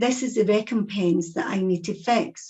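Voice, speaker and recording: A woman speaks in a Scottish accent. Her voice is somewhat breathy. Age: 60s. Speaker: psychic medium and speaker. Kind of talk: talk to an audience.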